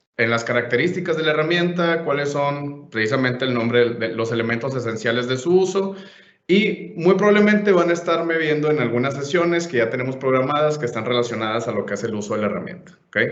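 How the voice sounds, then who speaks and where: A man with a Monterrey accent, fairly high pitch, lively intonation and a very fast pace, with audible room echo. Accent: Monterrey (northern Mexican). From Mexico, Monterrey. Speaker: software trainer / conference speaker. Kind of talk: conference presentation / webinar.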